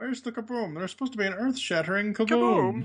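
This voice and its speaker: This put-on character voice sits at a fairly high pitch. It moves at a very fast pace. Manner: indignant, cartoonish.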